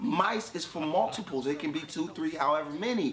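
There is noticeable background noise behind this man. He talks at a moderate pace with lively intonation. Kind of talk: comedic skit.

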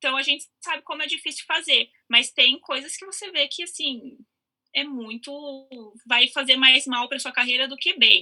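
A raised, projected voice with a bright, sharp tone, big swings in loudness, ordinary pitch variation and a moderate pace. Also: woman, high pitch for a woman. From Brazil, São Paulo. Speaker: actress. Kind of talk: casual chat.

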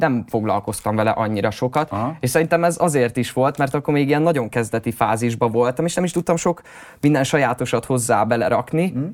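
A man talks at a fairly quick pace in a plain, everyday voice, medium in pitch with ordinary pitch variation. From Hungary, Hódmezővásárhely. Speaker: rapper and music producer. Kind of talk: interview.

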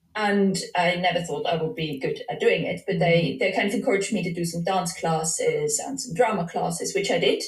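A woman talks at a fairly quick pace with hardly any pauses, her voice carrying audible room echo. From Switzerland. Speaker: dance psychology PhD researcher. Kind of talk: casual interview. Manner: hesitant, with many fillers.

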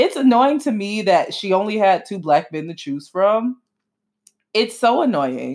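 The speaker has an American accent and an animated tone at a fairly slow pace. Pitch swings very widely and loudness shifts a lot. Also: woman, medium pitch for a woman. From Miami, Florida. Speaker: podcast host. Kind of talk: casual solo commentary.

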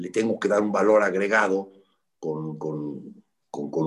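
A man talks at a very slow pace. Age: 60s. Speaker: football coach. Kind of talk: interview. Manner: halting, with frequent repetitions.

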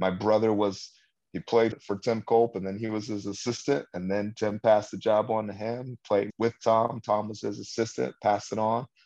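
A man with an American accent and a plain, everyday voice talks at a moderate pace, pitched fairly low. His intonation stays fairly even against a quiet background. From California, San Luis Obispo. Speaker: high school basketball coach. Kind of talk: interview.

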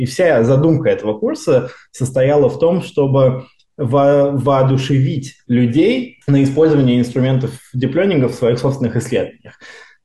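A man's somewhat breathy voice, fairly high in pitch, dark and mellow in tone, with ordinary pitch variation at a moderate pace. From Russia, Moscow region. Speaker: seismology researcher. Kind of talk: casual interview.

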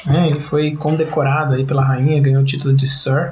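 A man is speaking with audible room echo. Noticeable background noise can be heard too. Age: 30s. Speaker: podcast host, forensic scientist. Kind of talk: casual science podcast chat.

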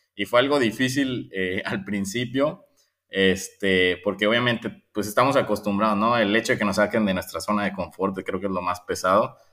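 Over a very clean recording with a silent background, a man speaks with ordinary pitch variation. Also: moderate pace. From Guadalajara, Mexico. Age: 20s. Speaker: environmental volunteer, engineer. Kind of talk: interview testimony. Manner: hesitant, repeats words.

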